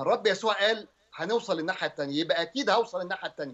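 Against a quiet background, a man speaks with a high pitch. His intonation is lively. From Egypt. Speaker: pastor. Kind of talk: religious teaching on TV.

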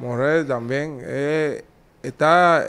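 Ordinary pitch variation runs through this man's voice. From Cuba. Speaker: former boxer; interviewee. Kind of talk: interview. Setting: in person. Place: office. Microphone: handheld.

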